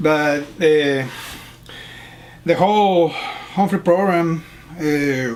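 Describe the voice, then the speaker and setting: Amid noticeable background noise, a man with a Spanish accent speaks at a very slow pace and fairly high pitch, with ordinary pitch variation and long, frequent pauses. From Panama. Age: middle-aged. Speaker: fellowship student and teacher. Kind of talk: interview. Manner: halting.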